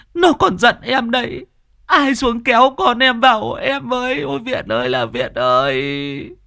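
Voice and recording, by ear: This put-on character voice has a bright, sharp tone with vocal fry, big pitch swings and a fairly slow pace, on a very clean recording with a silent background.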